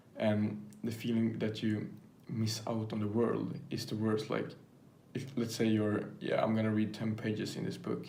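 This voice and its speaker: With noticeable background noise and audible room echo, a man with a non-native accent and a medium pitch speaks at a moderate pace in a monotone, flat intonation. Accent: non-native English speaker. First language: not English. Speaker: YouTuber. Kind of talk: casual vlog monologue. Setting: filming to camera. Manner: halting, many fillers.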